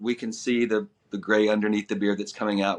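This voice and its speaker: A man's ordinary speaking voice, fairly low in pitch, at a fairly quick pace. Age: 60s. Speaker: actor interviewed about a past web series. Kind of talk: casual interview.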